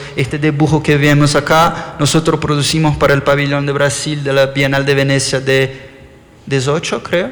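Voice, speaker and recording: The speaker has an Argentine accent, a moderate pace, and very even loudness, with monotone, flat intonation. Noticeable background noise and audible room echo fill the recording. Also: man, fairly high pitch for a man. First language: Portuguese (speaking Spanish). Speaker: architect. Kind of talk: lecture. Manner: halting.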